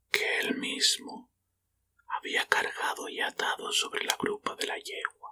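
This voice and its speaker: Whispering at a fairly slow pace, a man is heard in a dry, close sound with no echo. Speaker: ASMR reader and channel host. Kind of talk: whispered short-story reading for sleep and relaxation. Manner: whispered, soft.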